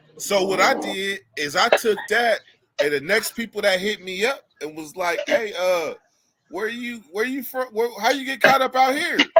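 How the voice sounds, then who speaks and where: This man has an American accent and a high pitch. His raised, projected voice carries lively intonation. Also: moderate pace. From California (Sacramento). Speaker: live stream host telling prison stories. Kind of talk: casual chat storytelling. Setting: live stream.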